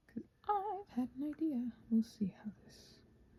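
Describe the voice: A woman's high, husky voice with a rough edge and a dark, mellow tone, fairly slow, with big pitch swings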